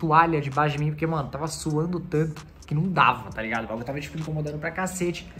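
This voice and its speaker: A man with fairly even intonation over faint background music. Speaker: wheelchair user vlogger. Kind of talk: casual vlog chat. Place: home room. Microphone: phone near.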